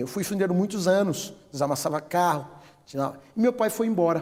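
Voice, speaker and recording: Very wide pitch swings run through this man's dark, mellow tone. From Bahia, Brazil (northeast), raised in São Paulo from age ten. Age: 60s. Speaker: businessman, cosmetics company founder. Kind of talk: interview testimony.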